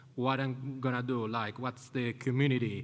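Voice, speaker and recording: A man with an Italian accent at medium pitch and moderate pace. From Italy. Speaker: conference speaker, community event organizer. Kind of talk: conference talk. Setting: stage with audience. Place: hall. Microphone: podium.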